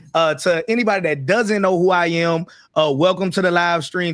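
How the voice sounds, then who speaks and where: With a Southern US accent, a man speaks loud at a moderate pace in a high pitch. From US Deep South. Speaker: online business YouTuber. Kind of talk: livestream panel discussion.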